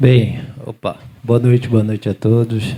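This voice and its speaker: His voice is somewhat breathy, and this man has a dark, mellow tone. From Aracaju, Sergipe, Brazil. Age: 30s. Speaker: business chamber regional manager. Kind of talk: panel discussion.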